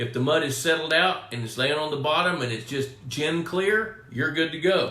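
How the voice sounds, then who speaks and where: A man with a Texan accent talks at a moderate pace with ordinary pitch variation, amid noticeable background noise and audible room echo. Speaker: pond management expert, live stream host. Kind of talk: live Q&A stream. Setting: home studio live stream. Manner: casual, conversational.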